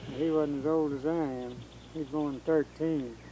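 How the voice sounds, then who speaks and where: Over noticeable background noise, a man speaks at a fairly slow pace with fairly high pitch. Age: 70s. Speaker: retired farmer recounting family history. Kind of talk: casual conversation, family history interview.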